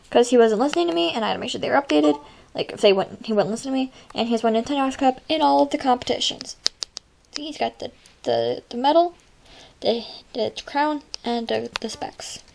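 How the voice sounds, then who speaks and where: A woman with a fairly high pitch speaks at a very fast pace, with very wide pitch swings and big swings in loudness. She takes long, frequent pauses, and there is noticeable background noise. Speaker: video game pet channel creator. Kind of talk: casual game showcase narration. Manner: halting.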